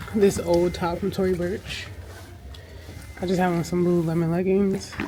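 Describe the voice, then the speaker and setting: Amid noticeable background noise and audible room echo, a woman with a fairly low pitch speaks at a moderate pace in a monotone, flat intonation. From rural Jamaica. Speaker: fashion and lifestyle vlogger. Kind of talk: vlog. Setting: empty gym. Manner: whispering.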